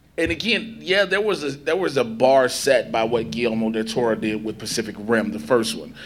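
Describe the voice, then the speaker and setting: A man with an American accent, over noticeable background noise. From Chicago South Side, US. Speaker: entertainment interviewer and panelist. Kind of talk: convention panel discussion.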